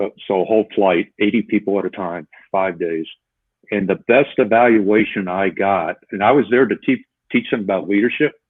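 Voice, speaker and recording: In a normal speaking voice, a man talks at a moderate pace. His pitch is fairly low, with ordinary variation. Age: 60s. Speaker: retired police officer and leadership trainer. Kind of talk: interview.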